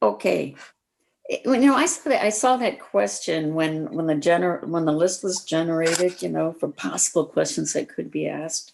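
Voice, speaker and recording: A woman speaks at a moderate pace with a Midwestern US accent. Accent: US Midwest. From small-town Iowa. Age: 70s. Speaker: senior interviewee. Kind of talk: casual interview.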